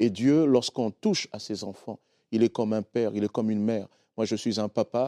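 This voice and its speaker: Against a quiet background, a man with a dark, mellow tone and medium pitch talks at a fairly quick pace with fairly even intonation, in a dry, close sound with no echo. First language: not French (speaking French). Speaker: pastor. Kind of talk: sermon-style teaching on a TV talk show. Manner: simple plain speech.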